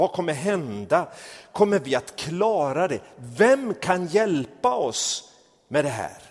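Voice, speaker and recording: Talking very slowly, a man uses a high pitch with very wide pitch swings. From a warm country abroad. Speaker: pastor. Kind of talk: sermon.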